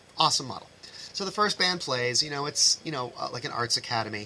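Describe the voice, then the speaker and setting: Fairly quick speech in an American accent with lively intonation and noticeable background noise. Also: man. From Massachusetts, US. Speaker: high school band director. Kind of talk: casual interview chat.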